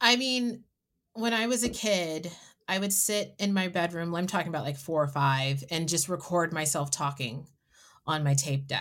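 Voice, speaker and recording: Against a silent background on a very clean recording, a woman with an unremarkable speaking voice and fairly low pitch talks at a moderate pace with lively intonation. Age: 40s. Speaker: podcast host. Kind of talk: casual chat.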